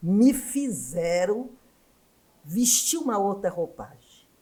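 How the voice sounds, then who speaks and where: The woman's pitch swings very widely. Her pace is very slow. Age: 70s. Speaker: education scholar and former union activist. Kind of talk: podcast interview.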